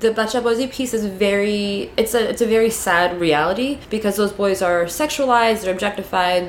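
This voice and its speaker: A woman's fairly high voice with an American accent, very fast and very even in loudness, over noticeable background noise. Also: ordinary pitch variation. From New York City, Queens. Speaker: activist and sex educator. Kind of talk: casual interview. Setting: recording room with parade passing outside.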